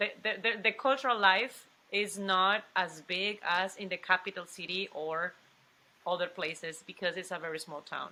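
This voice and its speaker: A woman with a strong Mexican accent, medium in pitch, ordinary pitch variation, moderate pace. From Mexico, Coatzacoalcos (Veracruz). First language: Spanish. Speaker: actress. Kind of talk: interview. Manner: halting, many restarts.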